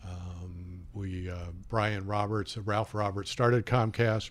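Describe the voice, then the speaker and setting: Very slow, fairly even speech from a man with a Midwestern American accent and a fairly low pitch, in a very clean recording with a silent background. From Indiana, US Midwest. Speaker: smoothie cafe franchise owner. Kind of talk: radio interview. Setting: radio studio.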